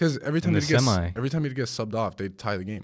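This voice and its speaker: Noticeable background noise sits behind this man's voice. He speaks at a fairly quick pace with lively intonation. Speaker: podcast co-host.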